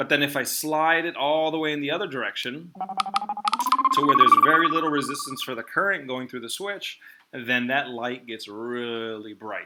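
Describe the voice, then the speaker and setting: A man speaks at a moderate pace. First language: not English. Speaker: physics teacher. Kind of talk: online class lesson. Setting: video call. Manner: hesitant, many fillers.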